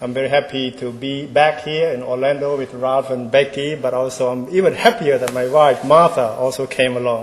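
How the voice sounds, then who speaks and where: Over noticeable background noise, a man talks at a moderate pace and medium pitch, his intonation fairly even and his speech with hardly any pauses. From Cambodia. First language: Khmer. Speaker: ambassador. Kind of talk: keynote speech. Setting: stage with audience.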